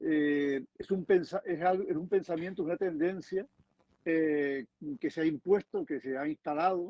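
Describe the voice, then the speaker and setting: The man's pitch is high, with ordinary variation. He speaks at a fairly slow pace. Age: 60s. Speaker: environmental activist. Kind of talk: panel discussion. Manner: halting.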